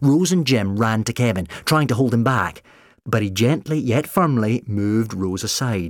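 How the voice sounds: Lively intonation in a natural reading voice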